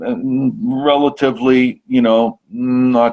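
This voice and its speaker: The pace is very slow. A man is the one talking. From North Jersey, US. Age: 60s. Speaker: podcast guest sharing psychedelic healing story. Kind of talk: interview, personal testimony. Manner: halting, many repetitions and fillers.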